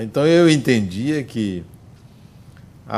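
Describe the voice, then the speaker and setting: A man speaks very slowly with lively intonation. There is audible echo in the room. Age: 60s. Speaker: spiritist speaker and psychologist. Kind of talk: lecture.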